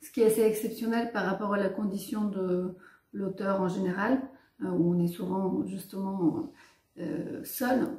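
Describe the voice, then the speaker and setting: Her pitch is medium, with ordinary variation. The woman speaks at a fairly slow pace. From Bulgaria. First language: Bulgarian (speaking French). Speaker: writer and filmmaker. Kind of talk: interview. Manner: hesitant, many fillers.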